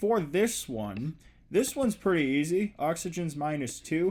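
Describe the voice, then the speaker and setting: In a very clean recording with a silent background, a man with a fairly high pitch speaks with lively intonation. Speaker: chemistry teacher. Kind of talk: lecture. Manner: animated.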